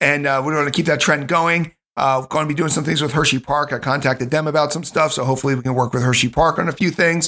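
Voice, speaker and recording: A man speaks at a very fast pace with hardly any pauses, his pitch fairly high and his intonation fairly even. His tone is bright and sharp, on a very clean recording with a silent background. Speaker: podcast host. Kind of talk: casual chat. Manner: filler-heavy, with frequent uh and um.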